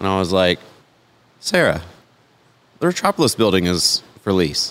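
With a normal speaking voice, a man talks at a moderate pace in a fairly low pitch. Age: 30s. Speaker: toy museum co-founder and collector. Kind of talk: casual interview. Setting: on location at a toy museum.

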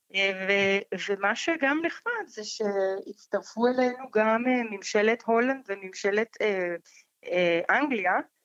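A woman with a non-native accent, fairly high in pitch, with ordinary pitch variation and a very slow pace. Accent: foreign accent in Hebrew. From Colombia. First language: Spanish (speaking Hebrew). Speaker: foundation director. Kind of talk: interview. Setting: phone call. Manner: halting.

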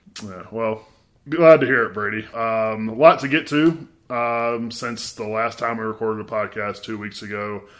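Medium-pitched man with a Mississippi accent, moderate pace, ordinary pitch variation and big swings in loudness, in a very clean recording with a silent background. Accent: Mississippi Southern US. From US South, Mississippi. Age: 30s. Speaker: sports journalist, podcast host. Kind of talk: casual sports chat.

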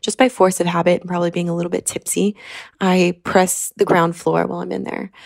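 The recording of this woman is very clean, with a silent background. Her sound is dry and close, without echo. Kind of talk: voice note story. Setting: voice note recording.

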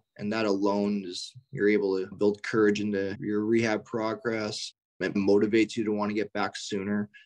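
A man with a western Canadian accent speaks with hardly any pauses. His voice is fairly low and his intonation monotone and flat. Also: moderate pace. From Canada, Richmond, British Columbia. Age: 20s. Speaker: professional hockey player. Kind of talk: interview.

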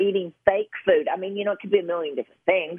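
This woman speaks with a Kentucky accent at a medium pitch. Her intonation is lively. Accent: Southern US (Kentucky). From Western Kentucky. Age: 50s. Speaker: nurse practitioner and author. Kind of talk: interview. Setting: radio interview.

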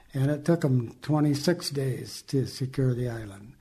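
This man speaks at a fairly slow pace with an American accent. His medium-pitched voice is somewhat breathy, and his intonation stays fairly even. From Southern California. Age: 80s+. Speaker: Navy veteran. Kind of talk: interview. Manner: halting.

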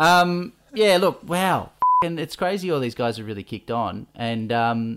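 A man speaks with an Australian accent. His intonation is lively. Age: 30s. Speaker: podcast host. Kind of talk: casual chat.

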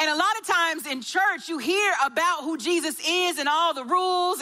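With a Southern US accent, a woman projects a raised voice at an extremely high pitch. She keeps a moderate pace against noticeable background noise. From US South, Augusta, Georgia. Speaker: church care and baptism director. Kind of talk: sermon.

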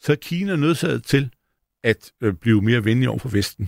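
A man speaks in a somewhat breathy voice with lively intonation, the sound dry and close with no echo. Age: 60s. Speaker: stock analyst. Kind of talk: panel discussion. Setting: studio.

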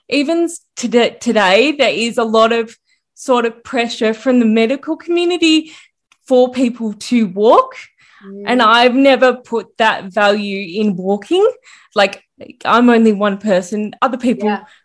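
A woman's plain, everyday voice, fairly high in pitch, with ordinary pitch variation and a fairly slow pace. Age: 30s. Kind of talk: casual interview chat.

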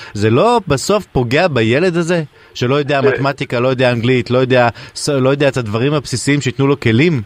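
At a very fast pace, a man talks at medium pitch with ordinary pitch variation and very even loudness, in a dry, close sound with no echo. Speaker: radio host. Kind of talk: casual chat. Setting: studio.

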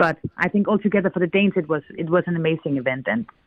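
The speaker has a Danish accent. The pace is very fast. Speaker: newspaper editor. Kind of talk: interview. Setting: remote link.

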